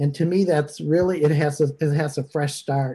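A man speaks in a monotone, flat intonation with a dark, mellow tone that is somewhat breathy. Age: 60s. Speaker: minister leading online service. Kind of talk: casual chat. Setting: video call.

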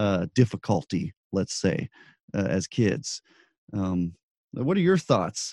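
A man speaks in a dark, mellow tone. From New Mexico, Albuquerque. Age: 30s. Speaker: podcast host. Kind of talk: interview. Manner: hesitant, many fillers.

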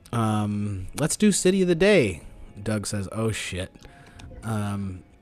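Noticeable background noise is present. Through it, a man speaks very slowly. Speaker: podcast host. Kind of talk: casual chat. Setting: remote recording, call.

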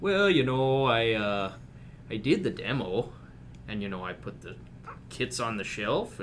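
A man's put-on character voice, drawling at a fairly slow pace in a medium pitch, with big swings in loudness and light background noise. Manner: apathetic, drawling, casual.

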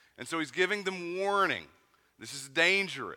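This man talks with a Southern Appalachian accent and a bright, sharp tone. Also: very clean recording, silent background. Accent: Southern Appalachian (says 'et' for 'at'). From US South, East Tennessee mountains. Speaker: pastor. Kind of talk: sermon.

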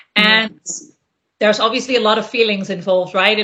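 The woman's pitch sits fairly high, with fairly even intonation. She has an ordinary speaking voice. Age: 30s. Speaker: career coach. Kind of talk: interview.

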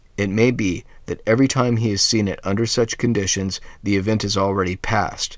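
On a very clean recording with a silent background, a man speaks fairly quickly in an ordinary speaking voice, with a fairly low pitch and fairly even intonation. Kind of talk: reading aloud a fairy tale, storybook narration. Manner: measured, steady storyteller's pace.

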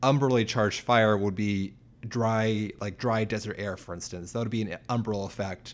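A normal speaking voice from a man, pitched fairly low, moving at a moderate pace, intonation fairly even, captured on a very clean recording against a silent background. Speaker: co-host and researcher. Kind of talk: casual chat.

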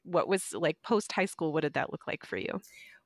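Recorded very cleanly against a silent background with a dry, close sound and no echo, a woman uses a normal speaking voice at a fairly low pitch with ordinary pitch variation. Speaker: podcast co-host. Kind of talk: casual interview.

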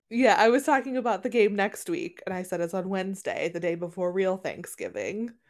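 With hardly any pauses, a woman of medium pitch talks at a fairly quick pace on a very clean recording with a silent background. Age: 30s. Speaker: podcast co-host. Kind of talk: casual chat.

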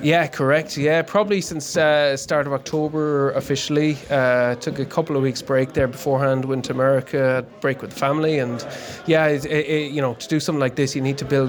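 Against noticeable background noise, a man with a west of Ireland accent talks at a fairly quick pace with hardly any pauses, fairly high in pitch and fairly even in intonation. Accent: west of Ireland Irish. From Connemara, west of Ireland. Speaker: amateur endurance cyclist. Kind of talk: casual interview. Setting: pub party.

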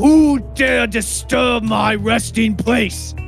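A man's put-on character voice at a very slow pace, with clear music in the background. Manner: bellowing.

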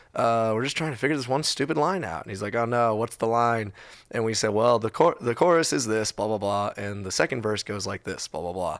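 Speaking in an ordinary speaking voice, a man with an American accent uses a medium pitch and a fairly quick pace. The recording is very clean, with a silent background. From Texas. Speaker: musician. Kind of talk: casual chat.

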